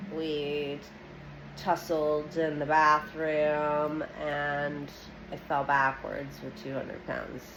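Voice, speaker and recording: Over noticeable background noise and audible room echo, a woman speaks very slowly in a very deep, low pitch with monotone, flat intonation. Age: 30s. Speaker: social media vlogger. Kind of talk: personal testimony. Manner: halting, many fillers.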